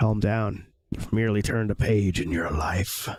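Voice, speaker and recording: In a put-on character voice, a man talks at a moderate pace with a fairly low pitch and fairly even intonation. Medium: game stream. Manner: calm, reassuring.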